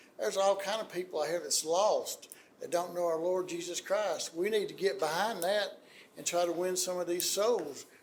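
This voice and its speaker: Speaking at a moderate pace, a man talks with an Alabama accent. Room echo is audible. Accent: US Southern (Alabama). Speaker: city council member. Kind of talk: public meeting remarks. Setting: city council meeting.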